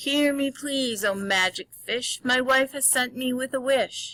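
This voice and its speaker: A female-sounding, put-on character voice speaks at a fairly slow pace. Her pitch is high. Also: very clean recording, silent background. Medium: read story. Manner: timid.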